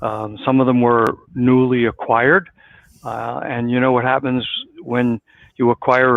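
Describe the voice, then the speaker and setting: A man with a New York accent talks at a moderate pace. His pitch is medium and his intonation fairly even. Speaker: business consultant. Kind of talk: interview.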